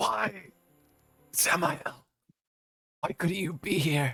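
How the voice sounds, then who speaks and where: Over background music, a man puts on a raspy, guttural character voice, fairly high in pitch, with lively intonation and a very slow pace. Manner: anguished.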